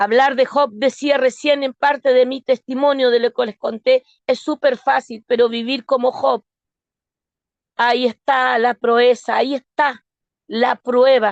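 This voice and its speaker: A woman with a slight Argentine accent talks fairly slowly in a high, monotone voice with flat intonation. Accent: slight Argentine lilt. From Argentina (born in Osorno, Chile). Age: 60s. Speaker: lay preacher. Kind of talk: sermon.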